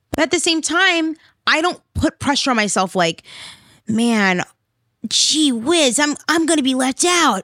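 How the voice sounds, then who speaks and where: A woman with a high pitch uses a raised, projected, animated voice with a bright, sharp tone and very wide pitch swings, keeping her loudness very even. She speaks fairly slowly with long, frequent pauses, and the sound is dry and close with no echo. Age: 20s. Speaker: podcast host and self-love coach. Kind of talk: motivational monologue.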